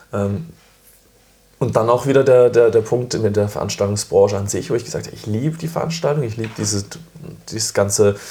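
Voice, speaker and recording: A man with a medium pitch and a dark, mellow, somewhat breathy tone speaks at a fairly quick pace with ordinary pitch variation, big swings in loudness, and long, frequent pauses. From southern Germany, village near Freiburg. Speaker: coffee events organizer. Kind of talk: casual chat. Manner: animated.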